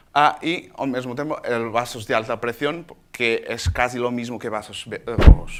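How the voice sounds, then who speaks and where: A man is speaking at a medium pitch. His pace is fairly slow. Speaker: doctor presenting at a laser symposium. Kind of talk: conference talk. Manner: halting, with false starts.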